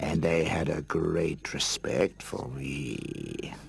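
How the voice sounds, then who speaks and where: A man's cartoonish character voice with a very deep, low pitch. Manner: wry, self-satisfied.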